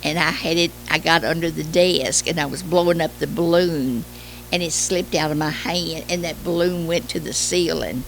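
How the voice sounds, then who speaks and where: Speaking in a Kentucky accent at a fairly slow pace, a woman is heard over noticeable background noise. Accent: Kentucky Southern US. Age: 80s+. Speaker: retired schoolteacher. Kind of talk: oral history interview. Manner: halting with hesitations.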